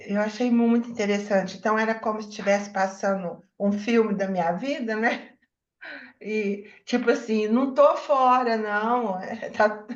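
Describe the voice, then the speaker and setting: A woman's fairly high voice, fairly even in intonation, with audible room echo. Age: 70s. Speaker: book club member. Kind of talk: book club discussion. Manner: halting.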